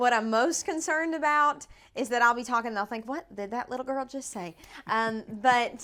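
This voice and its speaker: Speaking in an East Tennessee accent, a woman uses lively intonation at a high pitch. Her pace is moderate. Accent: Southern US (East Tennessee). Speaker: country singer. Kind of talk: casual interview. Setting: house in East Nashville. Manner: animated.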